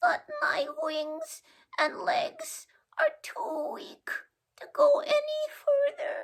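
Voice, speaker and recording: Someone puts on a character voice at an extremely high pitch. The delivery is very slow, with very wide pitch swings. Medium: read story. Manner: meek, pleading.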